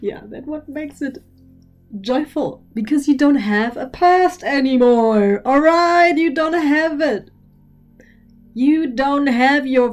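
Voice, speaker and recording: A woman's high voice with lively intonation, at a very slow pace, music in the background. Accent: German. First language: German. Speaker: spiritual teacher. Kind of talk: lecture. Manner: animated; halting.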